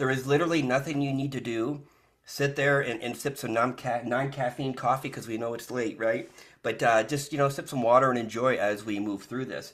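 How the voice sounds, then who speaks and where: The recording is very clean with a silent background. A man talks at a fairly quick pace, medium in pitch, with fairly even intonation. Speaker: spiritual channeler. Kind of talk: live channeling session. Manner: fast.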